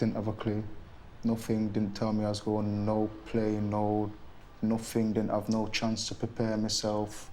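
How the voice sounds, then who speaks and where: Amid audible room echo, a man speaks at a fairly slow pace in a fairly low pitch, with a dark, mellow tone. His intonation is flat and monotone, and his loudness stays very even. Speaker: deportee. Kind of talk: documentary interview.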